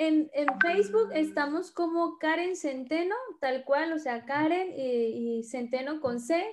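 A woman's high-pitched voice with lively intonation, over noticeable background noise. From Mexico, Tabasco. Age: 30s. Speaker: network marketing leader. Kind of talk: interview, personal story. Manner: chatty, fast.

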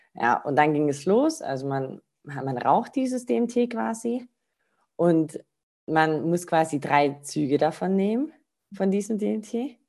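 Speaking at a very slow pace, a woman with a fairly low pitch and a dark, mellow tone swings very widely in pitch. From Baden-Württemberg (Rottweil). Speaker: spiritual practitioner. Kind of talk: interview.

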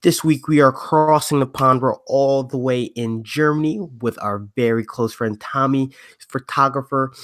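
A man speaks with an American accent in a normal speaking voice, at medium pitch and a moderate pace. His intonation is fairly even, and the recording is very clean with a silent background. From US East Coast. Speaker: podcast co-host. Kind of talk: casual interview.

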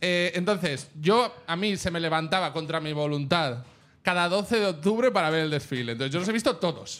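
High pitch from a man, at a moderate pace with ordinary pitch variation. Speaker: comedian. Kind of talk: casual chat. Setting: stage with audience.

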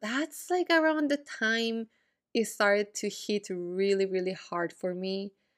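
A woman with an unremarkable speaking voice, a fairly high pitch, lively intonation and a fairly slow pace, in a very clean recording with a silent background. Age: 20s. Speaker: podcast host. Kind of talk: casual solo monologue. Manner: casual, frequent fillers and laughs.

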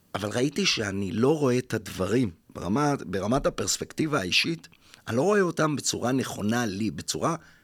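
A man's medium-pitched voice at a moderate pace, with very wide pitch swings, in a very clean recording with a silent background. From Israel, Jaffa. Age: 50s. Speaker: spiritual mentor and workshop leader. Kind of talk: interview. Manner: halting, many fillers.

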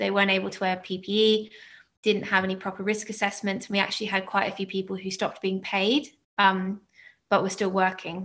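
A woman with an Australian accent talks at a fairly quick pace in a monotone, flat intonation. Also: medium pitch for a woman. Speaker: nanny and researcher. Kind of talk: personal talk at online panel. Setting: video call.

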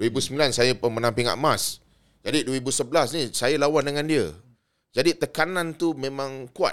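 An unremarkable speaking voice moves at a fairly slow pace with fairly even intonation, in a very clean recording with a silent background. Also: man, fairly high pitch for a man. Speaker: boxer and boxing official. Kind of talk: casual chat.

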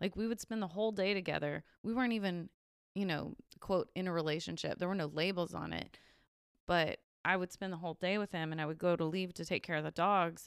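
A very fast-paced woman at a fairly low pitch with fairly even intonation, in a very clean, dry, close recording with a silent background and no echo. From New Mexico, small town. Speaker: diversity and inclusion professional. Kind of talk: casual chat.

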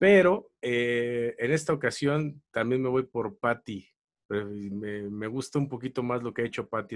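Speaking with a Mexican accent, a man keeps a medium pitch, ordinary pitch variation and a fairly slow pace. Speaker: comedy tournament analyst. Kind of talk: casual chat.

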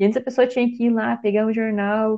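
Recorded dry and close with no echo, a woman speaks at a high pitch in a dark, mellow tone. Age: 20s. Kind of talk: casual chat.

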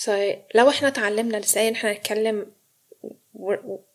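A woman with an ordinary speaking voice, a fairly high pitch and fairly even intonation. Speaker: psychological counsellor. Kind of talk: interview. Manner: frequent English code-switching.

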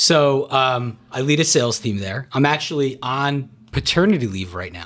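Recorded very cleanly against a silent background, a man with a medium pitch and a normal speaking voice talks at a moderate pace. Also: lively intonation, big swings in loudness. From New Jersey. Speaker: gym member and guest. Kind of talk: casual chat.

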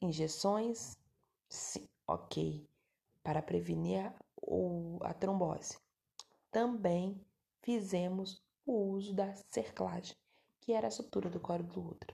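A woman speaks at a very slow pace with a fairly low pitch and a dark, mellow tone. Her voice is somewhat breathy, broken by long, frequent pauses. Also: lively intonation. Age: 30s. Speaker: podcast host, adoptive mother. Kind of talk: personal testimony. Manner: halting, self-correcting.

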